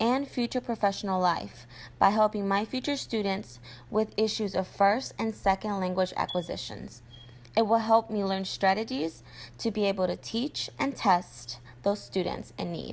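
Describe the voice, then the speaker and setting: A woman speaks at a medium pitch with ordinary pitch variation and a moderate pace. The recording is very clean, with a silent background. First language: Spanish. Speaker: student teacher. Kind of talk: video blog monologue.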